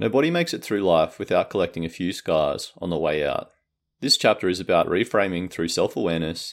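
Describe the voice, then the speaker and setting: On a very clean recording with a silent background, a man with an Australian accent talks at a very fast pace. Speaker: podcast host, book summarizer. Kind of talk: book summary narration.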